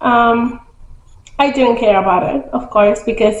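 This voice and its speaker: A woman speaks with a non-native accent at fairly high pitch. Audible room echo and noticeable background noise surround her voice. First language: not English. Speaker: book vlogger. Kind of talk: casual book review vlog. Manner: casual, hesitant with many fillers.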